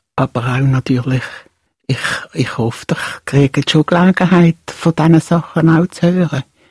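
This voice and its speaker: A woman with a fairly low pitch and a dark, mellow, somewhat breathy tone speaks at a moderate pace. Her intonation is fairly even, in a dry, close sound with no echo. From Switzerland, Basel. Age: 70s. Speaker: retired puppeteer. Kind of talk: casual chat. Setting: studio.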